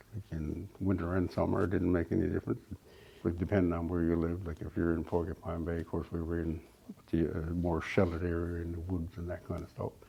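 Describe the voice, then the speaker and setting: Talking very fast in a monotone, flat delivery, this man has a very deep, low pitch and a somewhat breathy sound. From Labrador, Canada. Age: 70s. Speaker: Inuk elder. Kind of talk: interview. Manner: halting, with repetitions.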